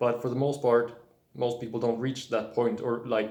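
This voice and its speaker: With a non-native accent, a man speaks at a moderate pace in a dark, mellow tone and monotone, flat intonation. Audible room echo surrounds the voice. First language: not English. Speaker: spiritual video blogger. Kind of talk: casual monologue. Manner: halting, many fillers and restarts.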